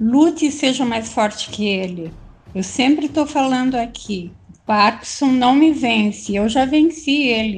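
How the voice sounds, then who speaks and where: A woman speaks at a fairly slow pace with lively intonation. Noticeable background noise runs under her voice. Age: 60s. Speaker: reiki practitioner with Parkinson's. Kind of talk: casual group chat.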